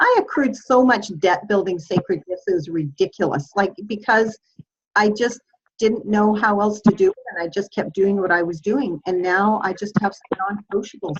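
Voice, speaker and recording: A woman's medium-pitched, somewhat breathy voice at a moderate pace with ordinary pitch variation. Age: 60s. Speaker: workshop teacher and speaker. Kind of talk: group video call coaching session.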